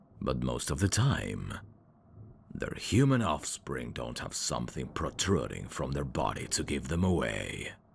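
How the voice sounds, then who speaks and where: A man does a put-on character voice at a moderate pace, pitched very deep and low. The recording is very clean, with a silent background. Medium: solo performance. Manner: smooth, teasing, endearment-heavy.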